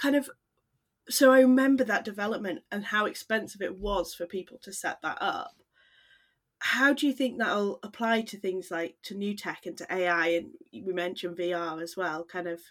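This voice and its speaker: A woman speaks with a British accent at a medium pitch and a moderate pace. Her intonation is lively, and her loudness swings widely. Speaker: maths teacher and podcast co-host. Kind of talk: casual chat.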